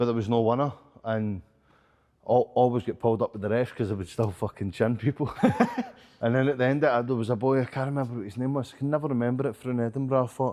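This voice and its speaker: A man's medium-pitched voice at a very fast pace, with fairly even intonation. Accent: Glasgow. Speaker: professional boxer and coach. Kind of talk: casual interview chat.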